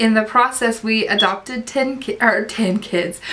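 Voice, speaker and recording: A woman talks in an Appalachian accent at a fairly high pitch. Her pace is very slow. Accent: Southern US (Appalachian). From US South, Southwest Virginia. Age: 30s. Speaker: online ESL teacher and vlogger. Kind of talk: casual vlog talk.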